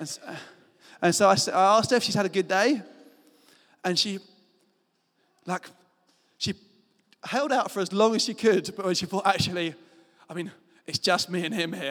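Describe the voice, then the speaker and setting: With a British accent, a man speaks in an animated tone at a fairly quick pace and a high pitch. Long pauses come frequently throughout. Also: ordinary pitch variation. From Britain. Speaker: pastor. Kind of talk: sermon.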